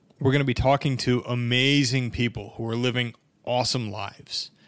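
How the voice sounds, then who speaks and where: A man with medium pitch and an unremarkable speaking voice. The recording is very clean, the background silent. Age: 30s. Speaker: podcast host, personal injury lawyer. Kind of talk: solo podcast monologue. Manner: casual, conversational.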